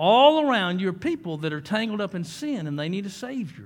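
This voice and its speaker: In a very clean recording with a silent background, a man's voice moves in very wide pitch swings. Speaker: guest preacher. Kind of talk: sermon. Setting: church. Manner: fervent, repetitive preacher cadence with stammered restarts; folksy, joking, calls for amens from congregation.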